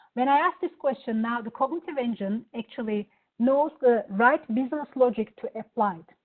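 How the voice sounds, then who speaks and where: Talking at a moderate pace with a Turkish accent, a woman uses a high pitch, ordinary pitch variation and big swings in loudness. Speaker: software product presenter. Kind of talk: product demo. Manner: hesitant, many fillers.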